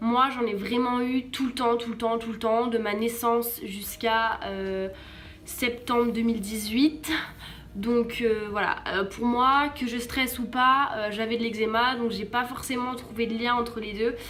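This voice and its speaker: With audible room echo and noticeable background noise, a woman speaks fairly slowly at a fairly high pitch in a monotone, flat intonation. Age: 20s. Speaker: vlogger. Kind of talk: personal testimony and advice vlog. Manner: hesitant, many fillers; casual.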